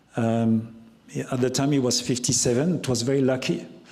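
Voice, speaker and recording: With a dark, mellow tone, a man speaks at a moderate pace and medium pitch, with ordinary pitch variation and audible room echo. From France, Loire Valley. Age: 60s. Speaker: chef. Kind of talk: talk Q&A with audience. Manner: halting, many repetitions.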